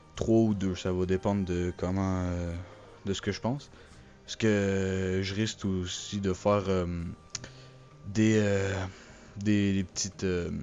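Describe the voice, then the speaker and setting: At a very slow pace, a man speaks with monotone, flat intonation and long, frequent pauses. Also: fairly low pitch for a man. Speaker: gaming YouTuber. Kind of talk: channel announcement monologue. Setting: recording alone over a still image. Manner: hesitant, many fillers.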